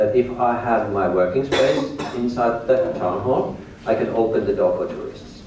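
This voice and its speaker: A man with a Finnish accent at a fairly slow pace, amid noticeable background noise and audible room echo. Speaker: tour guide and business owner. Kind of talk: lecture. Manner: halting.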